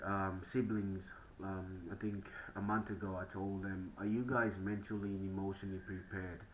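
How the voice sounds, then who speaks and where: A man's fairly low, monotone voice with flat intonation, at a moderate pace, in audible room echo. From Papua New Guinea. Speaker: podcast host. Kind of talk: casual interview chat.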